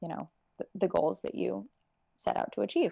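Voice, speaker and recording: This is a woman speaking with an American accent. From North Carolina. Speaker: sustainability consultant. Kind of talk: interview.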